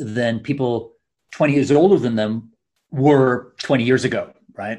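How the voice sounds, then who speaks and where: Medium in pitch with ordinary pitch variation, a man talks in an ordinary speaking voice. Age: 50s. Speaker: author. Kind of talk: interview.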